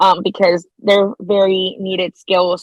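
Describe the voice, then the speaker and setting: A woman speaks in a Spanish accent. The sound is dry and close, with no echo. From El Salvador. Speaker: law student. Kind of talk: podcast interview.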